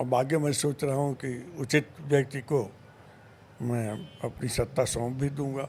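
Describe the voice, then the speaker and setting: This man speaks with a somewhat breathy, medium-pitched voice and fairly even intonation. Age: 70s. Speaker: sports administrator. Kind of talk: interview.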